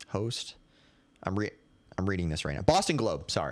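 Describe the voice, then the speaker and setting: This man's voice has vocal fry running through it. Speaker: podcast host. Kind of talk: casual sports commentary. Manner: stutters, halting.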